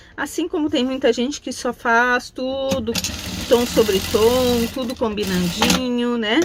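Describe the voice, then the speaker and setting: Over noticeable background noise, a woman speaks at a very slow pace with a high pitch and ordinary pitch variation. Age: 60s. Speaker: craft teacher. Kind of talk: tutorial. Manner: casual, chatty.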